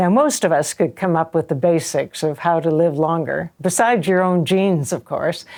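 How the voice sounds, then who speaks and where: Her fairly low pitch, dark, mellow tone, ordinary pitch variation and moderate pace mark this woman's speech. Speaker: journalist, public affairs host. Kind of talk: show introduction.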